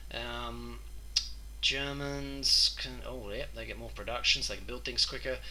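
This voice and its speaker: A man's very deep, low voice with an Australian accent, fairly slow and fairly even in intonation, with big swings in loudness, audible room echo and noticeable background noise. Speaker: gaming youtuber. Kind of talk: gameplay commentary. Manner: casual, with frequent fillers.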